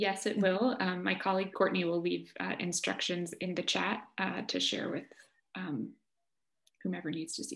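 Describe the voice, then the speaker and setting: Vocal fry from a woman, with ordinary pitch variation and long, frequent pauses against a quiet background. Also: medium pitch for a woman, moderate pace. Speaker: arts organization director; moderator reading audience questions. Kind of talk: audience Q&A moderation. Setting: video call. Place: home room. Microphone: video call.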